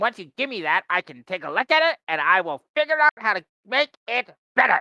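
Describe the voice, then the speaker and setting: A put-on character voice, fairly high in pitch, races along at a fairly quick pace with very wide pitch swings. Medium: actual play. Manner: chatty salesman.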